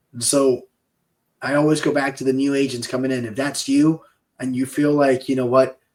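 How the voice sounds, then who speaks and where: A man with a Peruvian accent speaks at a medium pitch with fairly even intonation. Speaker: insurance sales podcast co-host. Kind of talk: casual chat.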